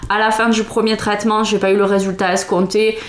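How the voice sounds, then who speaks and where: Noticeable background noise sits under the recording. A woman speaks at a moderate pace in a medium pitch. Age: 30s. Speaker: vlogger, mother of three. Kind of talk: product review vlog. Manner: hesitant, many fillers.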